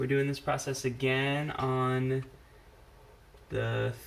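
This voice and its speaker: Audible room echo follows a man speaking at a medium pitch. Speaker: parent drawing tutorial host. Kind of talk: casual drawing tutorial chat. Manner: casual, hesitant with fillers.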